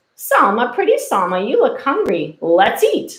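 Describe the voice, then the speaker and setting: A woman does a put-on character voice at a high pitch. She keeps a moderate pace. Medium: read story.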